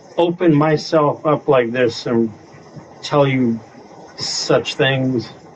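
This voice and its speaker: A man at a very slow pace with ordinary pitch variation, over noticeable background noise. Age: 60s. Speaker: discussion group participant. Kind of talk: casual group discussion.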